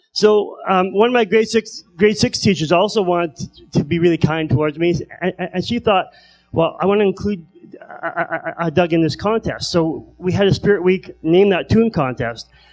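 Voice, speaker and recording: This man's voice sits high for a man and moves at a moderate pace with ordinary pitch variation. Music plays in the background. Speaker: comedian. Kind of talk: stand-up. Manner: halting.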